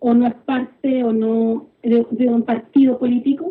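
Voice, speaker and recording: A woman talks at a very slow pace in a high pitch. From Chile. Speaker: political activist. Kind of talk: interview.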